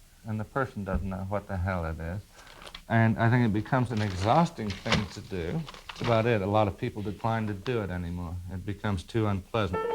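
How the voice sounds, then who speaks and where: A man with an American accent and fairly low pitch, talking at a fairly quick pace with ordinary pitch variation, amid noticeable background noise. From Indianapolis, Indiana, US. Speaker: writer. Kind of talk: guest lecture to a class. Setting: classroom recording.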